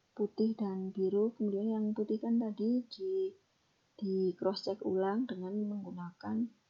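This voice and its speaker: A woman speaks at a fairly slow pace in a somewhat breathy voice. Her intonation is monotone and flat. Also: medium pitch for a woman. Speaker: lecturer. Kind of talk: recorded lecture explanation. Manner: whispered; some stumbling words.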